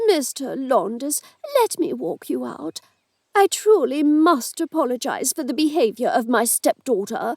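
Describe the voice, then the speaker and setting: Using a put-on character voice, a female-sounding speaker talks at a moderate pace, strained and high-pitched, with very wide pitch swings. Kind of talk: formal, apologetic. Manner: tight, restrained anger through gritted teeth.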